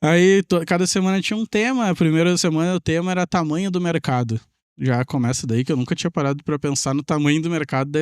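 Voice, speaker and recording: Speaking at a very fast pace, a man with a high pitch uses lively intonation in a very clean recording with a silent background and a dry, close sound with no echo. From southern Brazil, Pelotas (Rio Grande do Sul). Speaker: tech entrepreneur and programmer. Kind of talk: podcast interview storytelling.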